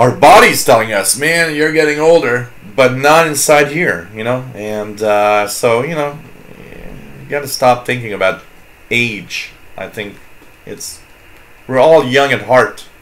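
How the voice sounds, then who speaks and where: With a slight French Canadian accent, a man speaks at a fairly slow pace in a medium pitch, with long, frequent pauses, big swings in loudness, audible room echo and noticeable background noise. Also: ordinary pitch variation. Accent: slight French-Canadian accent on some words. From Quebec. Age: 40s. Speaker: radio hobbyist livestream host. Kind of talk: casual chat. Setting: live stream with chat room. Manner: halting.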